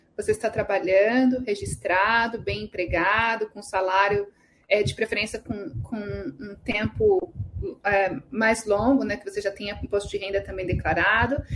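A woman with an ordinary speaking voice talks at a fairly slow pace, her pitch fairly high and her intonation lively. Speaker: immigration consultant. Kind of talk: live Q&A stream.

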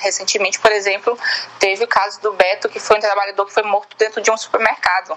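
Noticeable background noise beneath a woman's voice at a medium pitch. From Maranhão, Brazil (Bacabal). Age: 20s. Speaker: activist. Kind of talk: recorded interview answer.

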